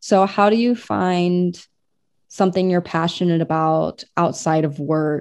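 A woman with an unremarkable speaking voice and fairly low pitch talks fairly slowly, keeping her intonation fairly even and her loudness very even. The background is quiet. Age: 20s. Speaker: anime podcast co-host and cosplayer. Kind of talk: casual chat.

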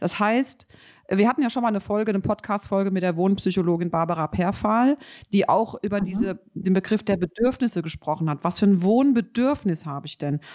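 There is lively intonation and an animated tone at a moderate pace, with a dry, close sound with no echo. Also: woman. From Rheinhessen, Germany. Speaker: podcast host, building consultant. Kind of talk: casual interview. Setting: remote recording, separate locations.

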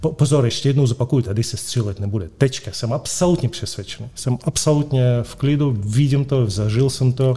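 Speaking at a moderate pace with a Russian accent, a man has a somewhat breathy voice with a dark, mellow tone. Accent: Russian accent in Czech. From Moscow, Russia. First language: Russian (speaking Czech). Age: 50s. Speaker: real estate company director. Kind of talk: interview. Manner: halting.

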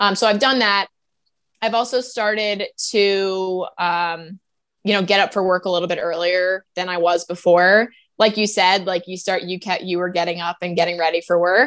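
On a very clean recording with a silent background, a woman speaks in a plain, everyday voice at a moderate pace. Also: medium pitch for a woman, fairly even intonation. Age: 20s. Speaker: corporate employee. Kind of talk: podcast interview. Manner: casual, filler-heavy.

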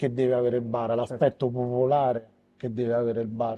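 This man speaks at a medium pitch. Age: 40s. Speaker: bar owner and bartender. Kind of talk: interview. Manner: hesitant, with fillers.

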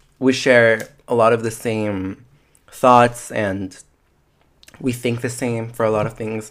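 Long, frequent pauses break up speech delivered at a very slow pace. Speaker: podcast host. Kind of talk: casual chat. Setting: dark room with hot cocoa. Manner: loud.

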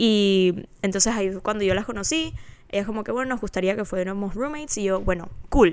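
The speaker is a woman with a plain, everyday voice. She talks at a fairly quick pace, with a medium pitch and ordinary pitch variation. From Panama. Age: 20s. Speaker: podcast co-host. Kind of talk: casual chat.

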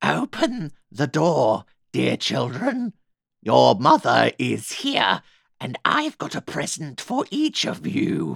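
This is a put-on character voice. It moves at a very slow pace.

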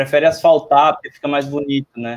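Fairly high in pitch, a man with fairly even intonation speaks in a normal speaking voice. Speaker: accessibility tech entrepreneur. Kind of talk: panel discussion.

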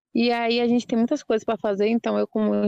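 The sound is dry and close with no echo as a woman talks. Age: young. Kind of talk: podcast interview.

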